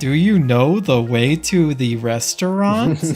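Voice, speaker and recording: A put-on character voice with lively intonation and a fairly slow pace. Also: man, fairly high pitch for a man. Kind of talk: slow, over-enunciated, condescending. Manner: patronizing.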